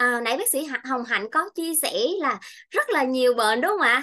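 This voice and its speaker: A woman speaks high and projects her raised voice. Her tone is bright and sharp, over a quiet background. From Vietnam, Bình Thuận; Vietnam. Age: 30s. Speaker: nutrition consultant; presenter. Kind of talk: health seminar talk. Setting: presentation to audience with mic. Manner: halting, many fillers. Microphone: webcam.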